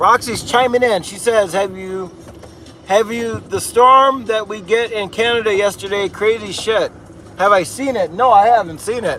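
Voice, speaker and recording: Raising and projecting his voice, a man with a high pitch talks at a moderate pace with fairly even intonation amid noticeable background noise. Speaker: livestreamer plowing snow. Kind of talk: live stream chat reading. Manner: casual, conversational.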